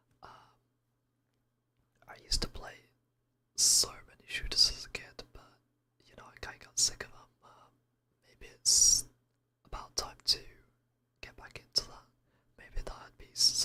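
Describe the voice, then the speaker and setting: A man whispers at a moderate pace, his loudness swinging widely. Long pauses come often. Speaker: VTuber streamer. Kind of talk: casual livestream chat. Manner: whispered.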